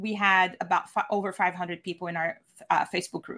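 Against a very clean recording with a silent background, a woman with a Portuguese accent speaks at a moderate pace in a bright, sharp tone. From Brazil. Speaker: virtual event producer. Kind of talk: video interview.

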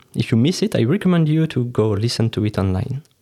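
With a French accent, a man speaks at medium pitch and moderate pace in a dark, mellow tone. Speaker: podcast host. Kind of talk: interview.

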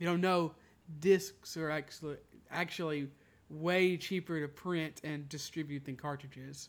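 This is a normal speaking voice at a fairly slow pace. The intonation stays fairly even. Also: man, fairly high pitch for a man. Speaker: podcast host. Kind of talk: casual chat. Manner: joking.

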